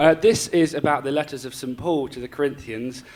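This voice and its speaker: Noticeable background noise sits behind a man talking at a very fast pace. His medium-pitched voice has ordinary pitch variation. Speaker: performance poet. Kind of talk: casual spoken introduction to a live audience.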